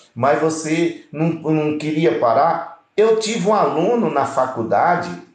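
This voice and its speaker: Audible room echo follows a man as he talks. His pace is fairly slow and his intonation lively. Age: 60s. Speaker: pastor. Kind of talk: preaching live stream.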